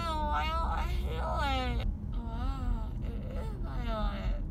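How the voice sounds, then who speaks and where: A woman at a very slow pace over loud background noise. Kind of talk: casual vlog chat. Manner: numb-mouthed, slurred post-anesthesia speech. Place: car. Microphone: phone near.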